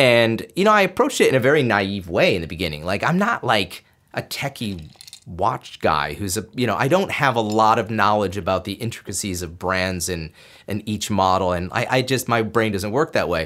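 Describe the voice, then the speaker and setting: A man in an American accent talks at a fairly quick pace with fairly low pitch and lively intonation, an unremarkable speaking voice. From upstate New York (Binghamton). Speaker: photographer and media maker. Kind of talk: casual chat. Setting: studio.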